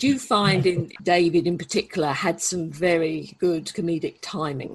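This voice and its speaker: A woman's somewhat breathy, fairly low voice at a moderate pace with ordinary pitch variation. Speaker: podcast interviewer. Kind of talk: interview question.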